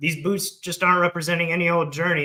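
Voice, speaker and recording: Bright and sharp in tone, a man speaks with an American accent at a fairly high pitch. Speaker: veteran entrepreneur and author. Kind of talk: presentation at a live launch event. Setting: stage with live audience.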